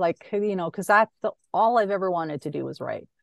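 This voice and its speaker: A woman's ordinary speaking voice with a Canadian accent, medium pitch, ordinary pitch variation, and a quiet background. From Canadian prairies, Saskatchewan. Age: 40s. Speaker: author and former crime reporter. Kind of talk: casual interview.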